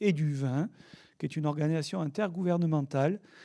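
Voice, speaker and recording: A dark, mellow tone with a southern French accent and ordinary pitch variation comes through in a very clean recording with a silent background. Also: man. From southern France, south of the Loire. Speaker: oenologist and wine regulation expert. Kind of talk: conference talk. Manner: hesitant, many fillers.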